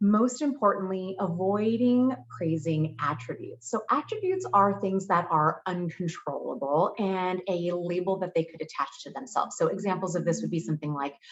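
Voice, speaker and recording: The woman has an ordinary speaking voice at medium pitch with lively intonation. She keeps a moderate pace with hardly any pauses. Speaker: certified clinical hypnotherapist and mindset specialist. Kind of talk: casual talk to camera.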